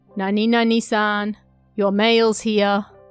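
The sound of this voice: A woman performs a robotic, put-on character voice at a medium pitch and a fairly slow pace. Her intonation stays monotone and flat, with faint music in the background.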